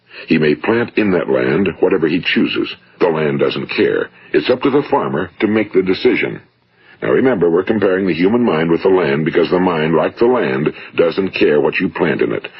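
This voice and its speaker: With an American accent, the speaker keeps a very even loudness at a moderate pace over noticeable background noise. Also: man. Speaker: motivational speaker. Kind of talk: motivational speech recording.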